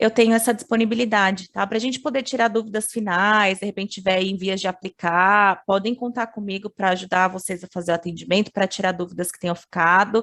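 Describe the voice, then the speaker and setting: A woman with an unremarkable speaking voice and medium pitch talks at a fairly quick pace with hardly any pauses, fairly even intonation and big swings in loudness. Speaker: international education advisor. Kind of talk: webinar presentation.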